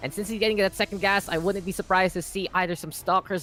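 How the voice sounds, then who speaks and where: A man's voice with music in the background. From Philippines. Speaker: esports caster. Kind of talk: live commentary. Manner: animated.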